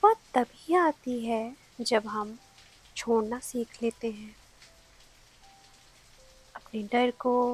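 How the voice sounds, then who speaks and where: A woman's fairly high, soothing voice moves with fairly even intonation and long, frequent pauses, in a dry, close sound with no echo. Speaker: sleep story narrator. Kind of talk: sleep story, calming bedtime narration. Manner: soft, slow, soothing.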